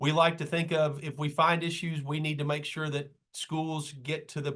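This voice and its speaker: A man speaks with a Kentucky accent. His pitch sits fairly high. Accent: Kentucky Southern US. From Kentucky, Madison County. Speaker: state school safety official and trainer. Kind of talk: training presentation. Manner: fast; casual, conversational.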